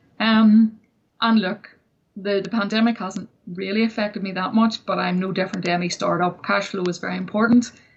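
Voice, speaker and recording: A woman with a Northern Irish accent speaks at a fairly quick pace in a medium pitch, somewhat breathy, with fairly even intonation. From Northern Ireland. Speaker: entrepreneur and success coach. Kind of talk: interview.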